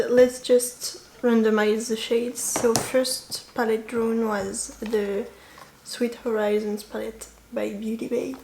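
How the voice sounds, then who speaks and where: Over noticeable background noise, a woman with a French accent talks at a very slow pace and a fairly high pitch, her intonation monotone and flat. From France. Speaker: beauty YouTuber. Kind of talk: casual vlog chat.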